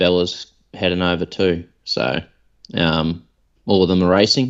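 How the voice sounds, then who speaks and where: With an Australian accent, a man speaks at a very slow pace. His pitch is very deep and low. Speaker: podcast co-host. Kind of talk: casual chat.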